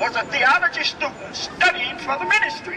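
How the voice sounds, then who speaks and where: Against crowd noise in the background, a man with an American accent talks at a fairly slow pace and an extremely high pitch. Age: 70s. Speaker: pastor and exonerated prisoner. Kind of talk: rally speech. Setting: outdoors.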